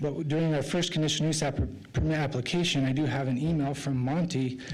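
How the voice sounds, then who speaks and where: Amid audible room echo, a man with a fairly high pitch races along at a very fast pace in fairly even intonation. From Idaho, Magic Valley. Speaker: applicant representative for a concrete plant. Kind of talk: public hearing testimony. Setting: city planning commission meeting.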